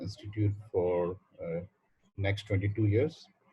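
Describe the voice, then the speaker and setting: At a very slow pace, a man speaks in a somewhat breathy, fairly low voice with fairly even intonation. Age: 60s. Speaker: university administrator. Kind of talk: welcome speech on video call. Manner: halting, many fillers.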